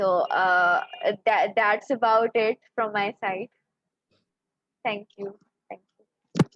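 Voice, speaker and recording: A woman with a Pakistani accent speaks at a very slow pace with long, frequent pauses. Her fairly high pitch varies in an ordinary way, and her loudness swings widely. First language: Urdu. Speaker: poet. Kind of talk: poetry reading.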